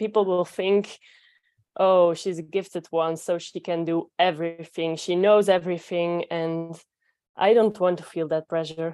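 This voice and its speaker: On a very clean recording with a silent background, a woman speaks fairly slowly in a fairly low, dark, mellow voice with monotone, flat intonation and a Belgian accent. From Belgium. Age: 20s. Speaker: physiotherapist, coaching client. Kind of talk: coaching conversation. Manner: halting, hesitant.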